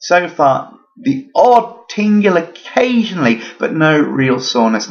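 A man speaks with vocal fry. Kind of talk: casual vlog chat, advice. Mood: upbeat despite the injury. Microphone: webcam.

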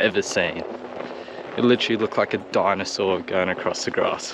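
Against noticeable background noise, a man with a fairly low pitch speaks with ordinary pitch variation, the sound dry with no echo. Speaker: hiker vlogger. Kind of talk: casual vlog chat. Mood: excited about a kangaroo. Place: open country. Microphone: phone near.

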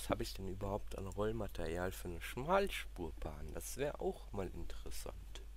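At a moderate pace with hardly any pauses, a man speaks at a very deep, low pitch with vocal fry and very wide pitch swings. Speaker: gaming YouTuber. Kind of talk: let's play commentary. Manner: casual, thinking aloud.

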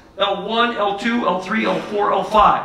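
A man's raised, projected voice with fairly even intonation and audible room echo. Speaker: football coach presenter. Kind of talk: lecture. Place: hall.

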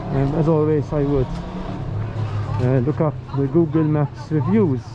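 A man speaking with crowd noise behind him. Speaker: travel vlogger. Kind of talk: casual vlog commentary. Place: street. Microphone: phone near.

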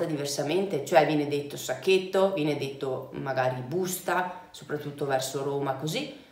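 With audible room echo, a woman talks at a moderate pace with ordinary pitch variation. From Vicenza, Veneto, Italy. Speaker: travel vlogger. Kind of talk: casual talk to camera. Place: home room.

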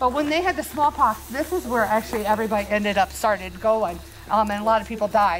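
Lively intonation carries a very fast pace over light background noise. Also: woman, fairly high pitch for a woman. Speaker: paranormal investigator; tour guide. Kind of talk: casual chat. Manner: loud. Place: open country.

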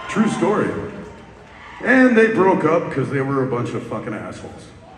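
A man's voice comes through with audible room echo. Light background noise is present too. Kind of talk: stage banter to audience. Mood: apologetic then joking. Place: stage. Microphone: pa.

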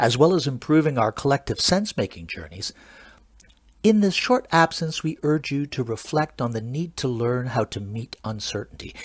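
A somewhat breathy man at a moderate pace, with very wide pitch swings, in a very clean recording over a silent background. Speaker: comedian. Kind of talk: improvised comedic chat. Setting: live video stream. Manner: mock-formal announcer delivery.

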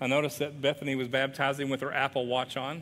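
This man has an American accent and a fairly high pitch with a bright, sharp tone. He speaks at a fairly quick pace over light background noise. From US South, southwest Virginia (Wise County); Virginia. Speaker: pastor; guest preacher. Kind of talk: sermon. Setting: church. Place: church.

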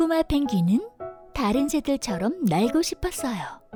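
A woman's gentle, high-pitched voice at a fairly slow pace with very wide pitch swings, music playing in the background. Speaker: voice actor. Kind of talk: children's story reading. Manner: gentle, storytelling.

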